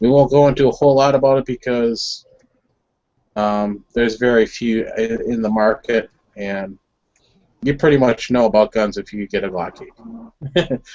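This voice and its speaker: Ordinary pitch variation at a moderate pace. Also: man, medium pitch for a man. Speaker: firearms enthusiast host. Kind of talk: casual group video chat.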